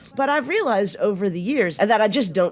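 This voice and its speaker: The speech comes at a fairly quick pace in a Southern US accent. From US South. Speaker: philosophy podcast co-host. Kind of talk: casual discussion. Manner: casual, folksy speech.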